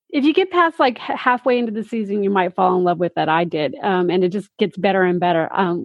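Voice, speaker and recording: Here is an ordinary speaking voice from a woman at medium pitch. She keeps a moderate pace with ordinary pitch variation. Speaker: podcast host. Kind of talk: casual interview.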